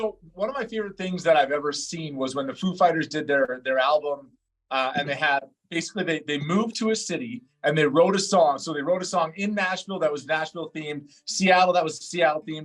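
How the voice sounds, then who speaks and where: The delivery runs at a very fast pace with ordinary pitch variation. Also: man, fairly high pitch for a man. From Alberta, Canada. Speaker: radio host. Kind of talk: radio interview.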